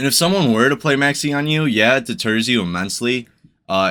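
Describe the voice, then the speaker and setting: Using a normal speaking voice, a man talks at a moderate pace with lively intonation. The recording is very clean, with a silent background. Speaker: YouTuber discussing card games. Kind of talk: commentary video monologue.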